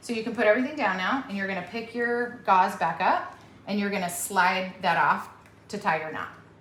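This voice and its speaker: With an upbeat tone, a woman at medium pitch talks at a fairly quick pace, amid noticeable background noise and audible room echo. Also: ordinary pitch variation. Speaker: veterinarian. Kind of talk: hands-on surgical teaching. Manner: loud; encouraging, upbeat.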